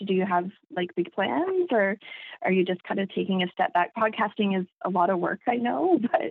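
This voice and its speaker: Using a plain, everyday voice, a woman speaks at a moderate pace and medium pitch with lively intonation. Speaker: listener and fan of the show.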